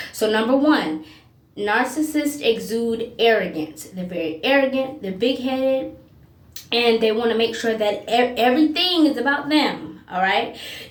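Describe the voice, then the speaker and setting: A woman with a fairly high pitch and lively intonation speaks at a moderate pace. Noticeable background noise and audible room echo fill the recording. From US South. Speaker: self-help video host on narcissism and empaths. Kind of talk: monologue video talk. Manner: occasionally tongue-tied.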